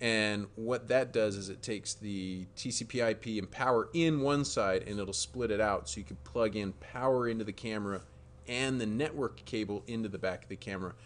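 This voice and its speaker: Lively intonation marks a man's fairly low-pitched voice at a moderate pace. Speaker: live stream host, tech company. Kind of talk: live stream tech Q&A. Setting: live stream. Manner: animated.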